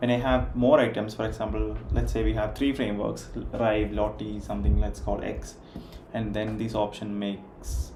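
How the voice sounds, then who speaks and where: A man with an Indian accent speaks at a moderate pace, with noticeable background noise and audible room echo. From India, Kerala. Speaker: software developer. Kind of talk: live coding stream. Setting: livestream with background music.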